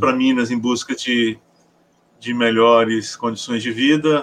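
A man speaking at a fairly slow pace. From Paraná, southern Brazil. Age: 50s. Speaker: educator and writer. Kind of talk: interview.

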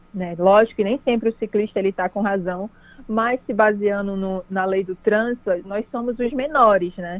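A woman with an unremarkable speaking voice talks at a medium pitch and a moderate pace, with fairly even intonation. The sound is dry and close, with no echo. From Pará interior, Brazil (Capanema). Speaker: cyclist and online cycling promoter. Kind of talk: radio interview.

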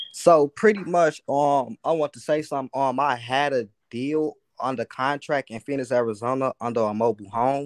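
Against a quiet background, a man talks at a moderate pace in a fairly high voice. His pitch varies in an ordinary way, and the sound is dry and close with no echo. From US Midwest. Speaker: aspiring real estate wholesaler calling in. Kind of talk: casual call-in Q&A. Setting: video call.

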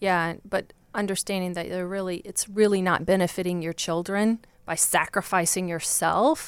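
A woman with a Southern US accent talks at a moderate pace and medium pitch with fairly even intonation, in a very clean recording with a silent background. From Virginia, US. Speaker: divorce coach.

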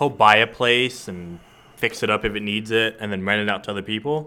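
With a normal speaking voice, a man talks at a fairly quick pace at medium pitch, using ordinary pitch variation. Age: 20s. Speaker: podcast co-host. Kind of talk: casual chat; reading aloud.

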